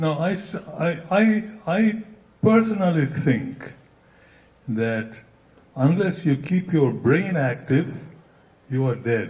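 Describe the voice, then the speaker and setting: Somewhat breathy, a man's voice rises and falls with lively intonation. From India. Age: 80s+. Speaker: audience member. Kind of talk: audience question.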